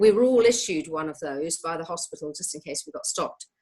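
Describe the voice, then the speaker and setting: In a British accent, a woman speaks at a fairly low pitch with ordinary pitch variation. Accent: British-sounding. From born outside New Zealand, partly raised in New Zealand. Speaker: occupational therapist. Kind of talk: interview. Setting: video call. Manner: halting, many fillers.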